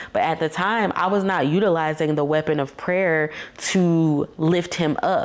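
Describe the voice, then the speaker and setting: Fairly low in pitch, a woman talks at a fairly slow pace with fairly even intonation and very even loudness. Noticeable background noise runs under her voice. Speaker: faith and marriage podcast host. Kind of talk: casual faith talk monologue. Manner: stuttering.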